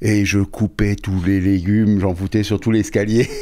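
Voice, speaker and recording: The man speaks at a moderate pace. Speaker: chef. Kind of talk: casual chat. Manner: halting.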